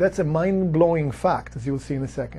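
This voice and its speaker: A man with a non-native accent at a very fast pace. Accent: foreign. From outside the US. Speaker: real estate investor, company executive. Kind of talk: explainer talk to camera.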